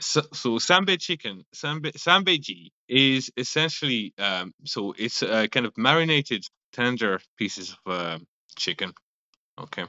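Speaking fairly slowly in a French accent, the voice swings very widely in pitch. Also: man, medium pitch for a man. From France. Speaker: restaurant owner and chemist. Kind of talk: casual interview. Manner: halting, many fillers.

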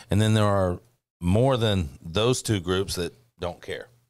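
Over a silent background on a very clean recording, a man with a very deep, low voice talks at a moderate pace. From Bartlett, Tennessee. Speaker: grassroots political organizer. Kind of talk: casual political panel chat.

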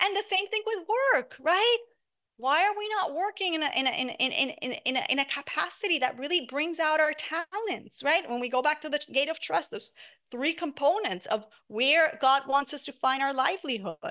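A woman speaks in a raised, projected voice with a bright, sharp tone and a high pitch. Her pitch swings very widely at a moderate pace. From Puerto Rico. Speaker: money coach. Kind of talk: interview.

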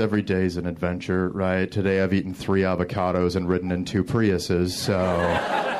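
A man's very deep, low voice with an American accent, a fairly quick pace and hardly any pauses, plus noticeable background noise and audible room echo. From Detroit. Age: 30s. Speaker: comedian. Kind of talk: stand-up. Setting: stage with audience.

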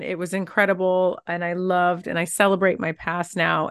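Her pitch is medium and she talks at a moderate pace. The woman uses an ordinary speaking voice. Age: 50s. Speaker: TV host and transformational coach. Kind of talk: interview.

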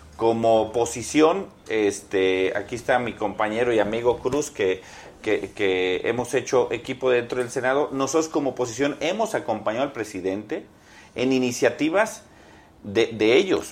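In a normal speaking voice, a man talks at a moderate pace and a medium pitch with ordinary pitch variation. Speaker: senator. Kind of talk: political debate.

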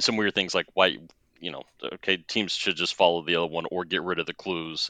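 A man's bright, sharp tone with ordinary pitch variation, over a quiet background. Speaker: patron and guest co-host. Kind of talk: casual chat.

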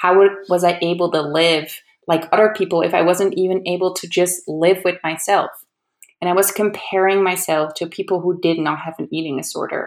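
A woman speaks in a Dutch accent at a fairly low pitch. Her pace is moderate and her intonation is monotone and flat. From Netherlands, Amsterdam. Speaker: editor. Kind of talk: prepared talk.

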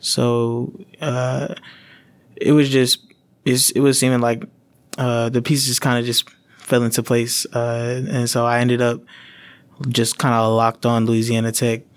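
Speaking fairly slowly with an American accent, a man at medium pitch keeps his loudness very even and his intonation fairly even, leaving long, frequent pauses. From Dallas-Fort Worth, Texas. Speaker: graphic design student. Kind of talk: casual interview.

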